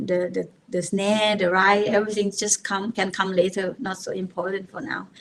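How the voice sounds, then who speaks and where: A woman with a Thai accent talks at a fairly slow pace. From Thailand, rural village. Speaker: techno DJ and producer. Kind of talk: podcast interview. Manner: halting.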